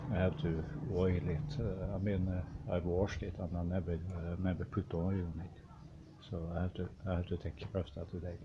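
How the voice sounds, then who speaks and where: Speaking in a Norwegian accent, a man has a very deep, low pitch. His pace is fairly quick, with ordinary pitch variation. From Norway. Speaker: hobby machinist. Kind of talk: workshop video talk. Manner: halting, many fillers.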